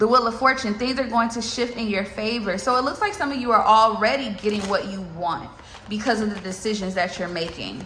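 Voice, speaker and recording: Amid noticeable background noise and audible room echo, a woman talks at a fairly quick pace with a fairly high pitch and ordinary pitch variation. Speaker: tarot reader. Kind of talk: tarot reading. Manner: fast; animated.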